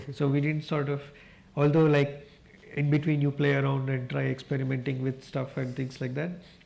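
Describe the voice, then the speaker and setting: A man speaks in a Kannada accent at a fairly quick pace, his voice somewhat breathy. His pitch is fairly high and his intonation stays flat and monotone. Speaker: newsroom director. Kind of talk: panel discussion.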